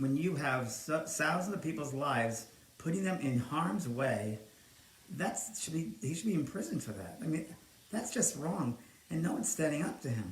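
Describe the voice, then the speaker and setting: Speaking at a moderate pace with an American accent, a man uses a fairly high pitch. His voice has very wide pitch swings, and audible room echo comes through. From New York. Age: 60s. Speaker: psychic medium and livestream host. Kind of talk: casual live stream chat. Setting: home live stream, alone. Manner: animated.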